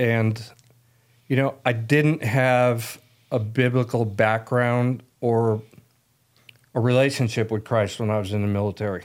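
Speaking with an American accent, a man at a medium pitch keeps a fairly slow pace and fairly even intonation, with long, frequent pauses. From US, Italian American family. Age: 60s. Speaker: men's ministry leader, military veteran. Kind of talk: casual chat. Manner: halting.

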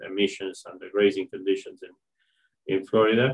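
A man talks with a Spanish accent. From Argentina. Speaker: animal science professor. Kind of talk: interview. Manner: halting, with frequent fillers.

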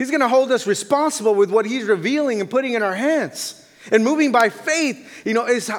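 Noticeable background noise runs under a man's voice at a moderate pace. His pitch is extremely high, with ordinary pitch variation. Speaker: missionary pastor. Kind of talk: sermon. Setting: church.

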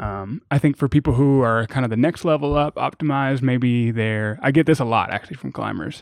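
Over a quiet background with a dry, close sound and no echo, a man in an ordinary speaking voice of medium pitch talks at a fairly quick pace with hardly any pauses and ordinary pitch variation. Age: 30s. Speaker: financial independence blogger. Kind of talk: casual chat.

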